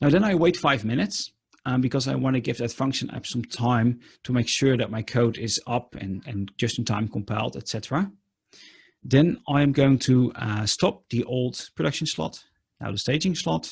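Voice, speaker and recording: A somewhat breathy, medium-pitched man with lively intonation and a Dutch accent. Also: moderate pace. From Netherlands. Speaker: conference speaker. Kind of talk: technical talk with live demo. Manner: many filler ums.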